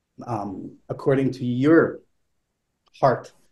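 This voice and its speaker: A man's very slow delivery. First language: not English. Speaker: flutist. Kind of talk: panel discussion. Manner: hesitant, many fillers.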